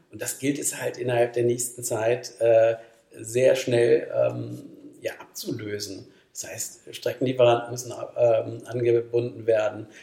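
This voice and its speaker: A man speaks at a very slow pace. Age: 50s. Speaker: company managing director. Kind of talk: podcast interview.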